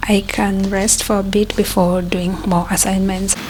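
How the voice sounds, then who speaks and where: A woman's medium-pitched, monotone, flat delivery at a fairly slow pace, with noticeable background noise. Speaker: student vlogger. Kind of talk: casual vlog narration.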